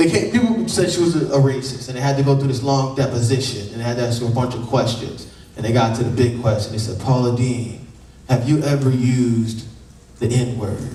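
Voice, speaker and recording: Male voice of medium pitch at a fairly quick pace, with audible room echo. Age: 20s. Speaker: stand-up comedian. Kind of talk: stand-up. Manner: animated.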